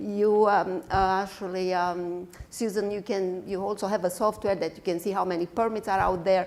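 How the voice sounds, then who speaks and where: With a non-native accent, a woman speaks at a medium pitch and moderate pace, her intonation fairly even. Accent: foreign. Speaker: construction executive. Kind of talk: panel discussion. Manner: hesitant, many fillers.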